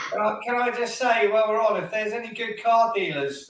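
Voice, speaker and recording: There is noticeable background noise behind this man. He speaks at a fairly quick pace in a high voice. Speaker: football podcast host. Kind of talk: casual podcast talk.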